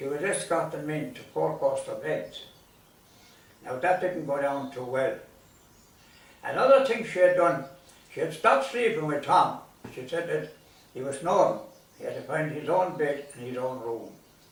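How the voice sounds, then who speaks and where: A man with a Limerick accent speaks at a moderate pace, with long, frequent pauses and big swings in loudness. Audible room echo and noticeable background noise are present. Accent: Irish (Limerick). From Ireland, County Limerick. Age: 80s+. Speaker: storyteller. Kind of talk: storytelling.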